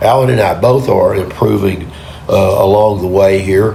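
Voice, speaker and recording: Amid audible room echo and noticeable background noise, a man speaks with an American accent at a fairly low pitch. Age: 70s. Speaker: amateur bowler vlogger. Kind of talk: casual vlog commentary. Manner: halting, many repetitions.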